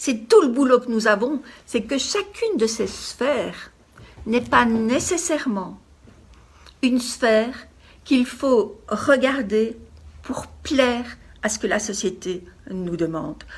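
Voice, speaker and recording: Her intonation is lively and her pitch high as this woman speaks at a very slow pace, leaving long, frequent pauses. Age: 60s. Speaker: life coach. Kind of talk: motivational talk.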